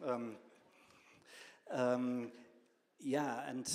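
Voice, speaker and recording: Medium-pitched male speech with audible room echo. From northern Germany. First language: German. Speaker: professor. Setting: stage with audience. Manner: hesitant, many fillers.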